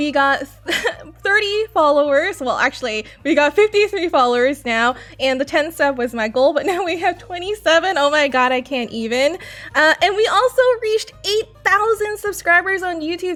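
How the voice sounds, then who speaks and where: With an American accent, a woman talks at a moderate pace in a high, animated voice with lively intonation over noticeable background noise. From United States. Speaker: gaming streamer. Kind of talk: casual game news commentary.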